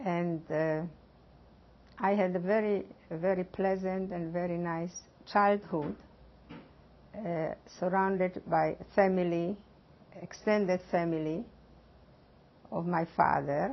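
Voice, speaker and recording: Very slow speech with a Hungarian accent, long and frequent pauses, and fairly even intonation. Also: woman, fairly low pitch for a woman. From eastern Slovakia. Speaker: Holocaust survivor. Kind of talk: testimony. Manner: halting.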